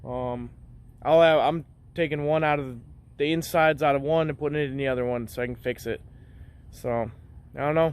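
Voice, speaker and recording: Mumbling at a fairly quick pace, a man talks in a fairly high voice with ordinary pitch variation. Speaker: car repair YouTuber. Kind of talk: casual DIY tutorial. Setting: garage. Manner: rambling, mumbling.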